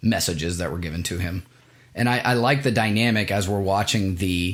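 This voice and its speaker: A man speaks at a moderate pace with a Midwestern accent, his pitch fairly low with ordinary variation. The recording is very clean, with a silent background. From US Midwest. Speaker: movie podcast co-host. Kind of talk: casual chat.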